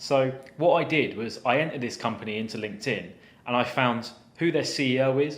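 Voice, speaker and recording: A man talks in a Southern English accent. Audible room echo surrounds his voice. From southern England. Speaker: cyber security penetration tester. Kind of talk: story time tutorial.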